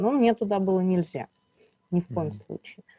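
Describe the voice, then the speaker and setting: A woman uses a normal speaking voice, her medium pitch showing ordinary pitch variation. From Russia, Bryansk region. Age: 30s. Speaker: social journalist. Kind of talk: interview, personal testimony.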